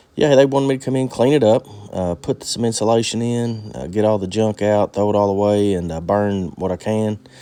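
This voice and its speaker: Set against a silent background, this very clean recording carries a dark, mellow tone. The pace is moderate, with ordinary pitch variation. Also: man. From eastern Kentucky. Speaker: vlogger, seasonal off-grid worker. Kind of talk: casual vlog narration. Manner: halting, many fillers.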